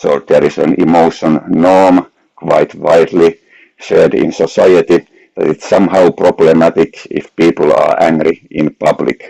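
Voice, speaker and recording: A man speaks at a fairly slow pace with a Finnish accent, the sound dry and close with no echo. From Finland. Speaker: researcher. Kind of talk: academic lecture.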